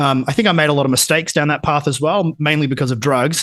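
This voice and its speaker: Talking at a very fast pace, a man with an Australian accent speaks in a fairly high voice. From Australia, country Victoria (Geelong). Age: 30s. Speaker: entrepreneur, education business owner. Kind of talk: podcast interview. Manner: casual, filler-heavy.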